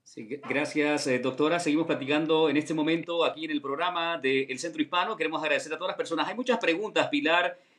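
A man speaks at a very fast pace in a fairly high voice. His pitch varies in an ordinary way. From Honduras. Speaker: radio host. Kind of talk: live radio show hosting. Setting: radio studio. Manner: animated.

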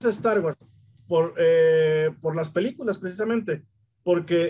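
A man speaks at a fairly slow pace with a high pitch. His tone is dark and mellow, and his intonation is lively. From Mexico, Torreón. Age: 40s. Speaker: collectibles shop owner. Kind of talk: casual chat. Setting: in his shop.

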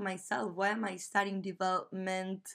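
This very clean recording has a silent background. A woman with a Spanish accent speaks at a medium pitch and a fairly slow pace. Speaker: podcast host and graduate student. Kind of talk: scripted podcast intro, personal storytelling.

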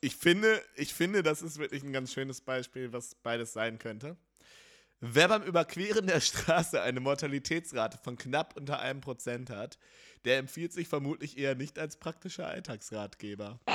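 This is a man with a normal speaking voice and a fairly high pitch. He talks at a moderate pace with lively intonation. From North Rhine-Westphalia. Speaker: podcast host. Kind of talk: casual chat.

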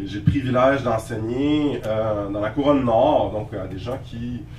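Recorded with audible room echo and noticeable background noise, a man speaks at a medium pitch with ordinary pitch variation. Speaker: lecturer and writer. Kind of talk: lecture. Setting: lecture hall with audience. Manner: hesitant, many fillers.

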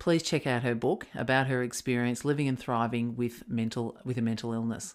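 A woman speaks with an Australian accent at a moderate pace, her pitch very deep and low and her intonation fairly even. The recording is very clean, with a silent background. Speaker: podcast host and leadership coach. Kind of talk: interview; scripted narration.

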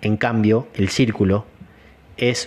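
Talking at a very slow rate, the man keeps his voice at a medium pitch. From Argentina, Entre Ríos. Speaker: martial arts teacher and podcast host. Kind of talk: solo podcast talk. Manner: hesitant fillers.

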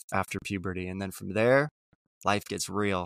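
A man with an ordinary speaking voice and ordinary pitch variation, on a very clean recording with a silent background. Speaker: astrologer. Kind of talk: casual interview chat.

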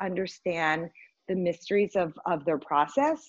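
Against a quiet background, a woman speaks at a moderate pace. Her pitch is medium. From US South, Richmond, Virginia. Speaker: art advisor and print curator. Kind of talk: interview conversation. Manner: hesitant, many fillers and restarts.

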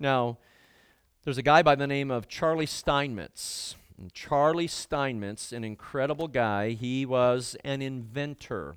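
A man with a plain, everyday voice talks at a medium pitch and a fairly slow pace, with ordinary pitch variation and big swings in loudness, in a very clean recording with a silent background. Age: 60s. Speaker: guest preacher. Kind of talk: sermon.

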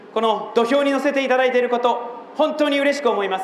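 A man talks at a fairly quick pace in an extremely high pitch, with fairly even intonation. Noticeable background noise and audible room echo surround him. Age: 30s. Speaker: political candidate. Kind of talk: campaign speech. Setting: outdoor rally in front of a train station. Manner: impassioned.

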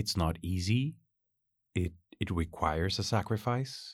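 Speaking at a very slow pace with a Spanish accent, a man uses a very deep, low pitch with ordinary pitch variation in a very clean recording with a silent background. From Chile. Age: 40s. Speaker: university teacher. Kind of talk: casual interview chat.

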